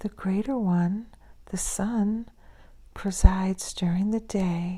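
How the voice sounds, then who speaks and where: Whispering at a very slow pace, a soft-spoken woman has a gentle tone and a somewhat breathy sound. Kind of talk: soft-spoken scripture reading for sleep and relaxation. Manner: soft-spoken, gentle, whispery, slow.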